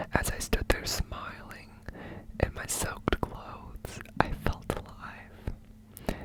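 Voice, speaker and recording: There is noticeable noise in the background as a man whispers. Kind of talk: poetry reading, whispered. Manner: whispered, soft.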